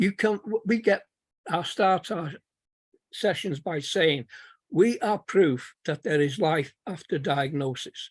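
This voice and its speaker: A high-pitched man's voice with a Manchester accent, very slow and lively in intonation, in a dry, close sound with no echo. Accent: Manchester accent retained. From Manchester, northern England. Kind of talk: webinar testimony.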